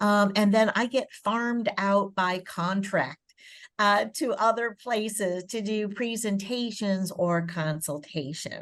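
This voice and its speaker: Very slow delivery from a woman, medium-pitched, with ordinary pitch variation. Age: 70s. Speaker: professor. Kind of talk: presentation. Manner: frequent filler words (um, uh).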